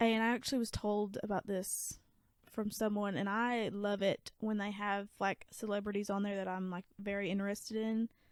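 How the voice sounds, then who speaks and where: A woman talks with a strong Southern US accent at a moderate pace. Her pitch is medium and her intonation is monotone and flat. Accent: thick Southern. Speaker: podcast co-host. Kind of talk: casual chat.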